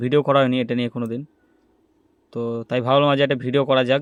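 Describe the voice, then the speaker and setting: Monotone, flat intonation marks a man's medium-pitched voice. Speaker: DJ and recording studio owner. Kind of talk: casual talk to camera.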